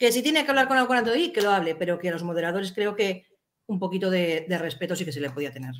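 Very wide pitch swings mark this woman's voice as she talks at a very fast pace. Light background noise is present. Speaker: chat moderator. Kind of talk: casual chat. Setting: video call. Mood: indignant, complaining. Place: home room. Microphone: webcam.

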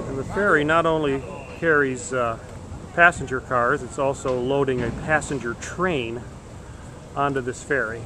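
At a moderate pace with long, frequent pauses, the voice shows ordinary pitch variation in a dry sound with no echo, over noticeable background noise. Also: man. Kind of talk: casual travel narration. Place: station. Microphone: phone near.

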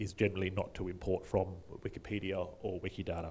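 A man with an Australian accent talks at a fairly quick pace in a somewhat breathy voice. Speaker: conference speaker, wiki volunteer; conference speaker. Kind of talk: conference talk. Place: hall.

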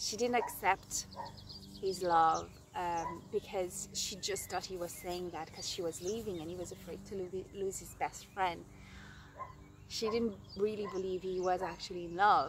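A woman's warm, medium-pitched voice at a moderate pace, with fairly even intonation, long, frequent pauses, a dry sound with no echo and noticeable background noise. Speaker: storyteller. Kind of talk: storytelling, an improvised fairy-tale-style narration to the camera. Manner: halting, with frequent 'um' and 'uh' fillers as she makes up the tale; warm and affectionate, laughing and getting a bit emotional. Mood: animated, expressive. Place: open country. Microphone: phone near.

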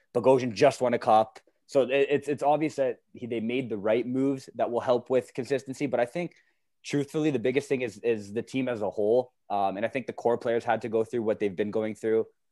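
In a very clean recording with a silent background and a dry, close sound with no echo, a man speaks in a Canadian accent at medium pitch. His pace is fairly quick, his intonation fairly even, and he has a plain, everyday voice. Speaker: podcast co-host. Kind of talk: casual chat.

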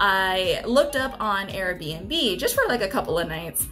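With faint music in the background, a woman is talking. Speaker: travel vlogger. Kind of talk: casual vlog chat. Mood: excited, upbeat. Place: home room.

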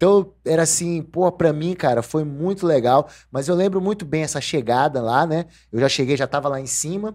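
Moderate pacing and ordinary pitch variation against a quiet background. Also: man. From Brazil. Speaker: podcast host. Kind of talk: casual interview. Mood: relaxed, reminiscing. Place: studio. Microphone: studio mic.

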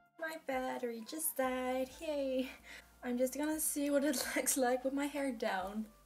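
Faint music plays in the background as the voice moves at a very slow pace with ordinary pitch variation. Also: woman. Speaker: beauty vlogger. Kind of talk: casual talk to camera. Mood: playful, nervous, self-mocking. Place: home room. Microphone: phone near.

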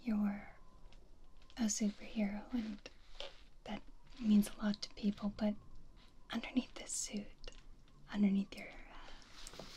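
A soft-spoken woman talks in a dark, mellow tone that is somewhat breathy, at a fairly slow pace. Her intonation is monotone and flat, with light background noise. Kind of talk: roleplay monologue to viewer. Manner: soft, close ASMR murmur. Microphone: studio mic.

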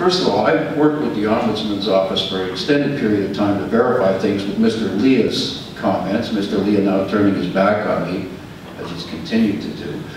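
The speech moves at a fairly quick pace with ordinary pitch variation. There is strong room echo and light background noise. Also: man, fairly low pitch for a man. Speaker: tenant and housing activist. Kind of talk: public deputation at a board meeting. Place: meeting room.

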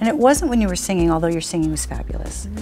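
A woman speaks while clear music plays in the background. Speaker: talk show host. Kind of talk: casual interview talk. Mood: warm, enthusiastic. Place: shop.

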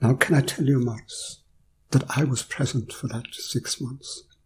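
A man speaks at a moderate pace in a medium pitch, his voice somewhat breathy and his pitch varying in an ordinary way. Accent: Kerry. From Ireland. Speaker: philosopher. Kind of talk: storytelling interview.

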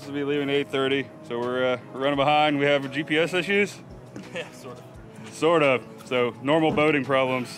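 Clear music plays in the background. A man talks at a moderate pace with fairly even intonation. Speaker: fishing boat captain vlogger. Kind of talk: casual vlog chat. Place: boat. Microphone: phone near.

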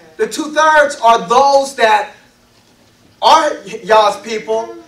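Pitched extremely high, a man speaks at a fairly slow pace with lively intonation and audible room echo. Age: 50s. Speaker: elder / guest preacher; guest preacher. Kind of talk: sermon. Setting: congregation assembly. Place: meeting room. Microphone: podium.

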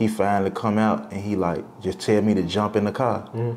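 With fairly even intonation, a man talks at a fairly low pitch. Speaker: interview guest. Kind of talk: interview answer. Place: kitchen.

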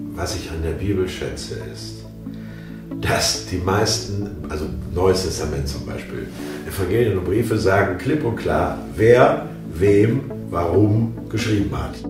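A man speaks very slowly in a very deep, low voice with very wide pitch swings. Clear music plays in the background, and the room echo is audible. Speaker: audiobook narrator. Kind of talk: interview answer. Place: home room.

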